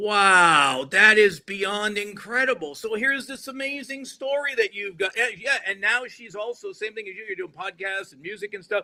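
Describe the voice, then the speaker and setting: A man with a high, bright, sharp voice projects it loudly in an animated tone, his loudness swinging widely. He keeps a moderate pace with ordinary pitch variation and hardly any pauses. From US Northeast (Rhode Island). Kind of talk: podcast interview, casual chat.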